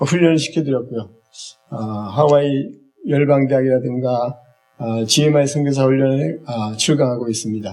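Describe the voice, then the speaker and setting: A man speaks at a fairly high pitch with ordinary pitch variation and a moderate pace. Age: 60s. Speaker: eye health instructor, church minister. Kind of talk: lecture. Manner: halting, many fillers.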